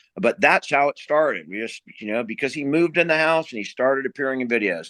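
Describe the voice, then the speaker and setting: Loud and very fast, a man speaks with lively intonation. His tone is bright and sharp. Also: medium pitch for a man. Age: 50s. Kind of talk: interview. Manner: halting, many fillers and restarts.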